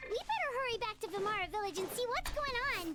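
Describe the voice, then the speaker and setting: In a put-on character voice, someone talks very fast at an extremely high, squeaky pitch. Light background noise sits behind it. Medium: video game. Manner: chatty, lively.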